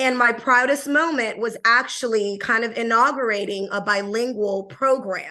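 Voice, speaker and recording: Over a quiet background, a woman talks at a moderate pace and a fairly high pitch. Her tone is bright and sharp, and her intonation fairly even. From Panama. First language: Spanish. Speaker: bilingual education leader. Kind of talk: podcast interview. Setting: call.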